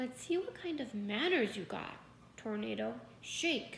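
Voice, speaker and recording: A woman's put-on character voice, fairly high in pitch with very wide pitch swings, at a fairly slow pace over clear background noise. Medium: read story. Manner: calm, dry, easygoing.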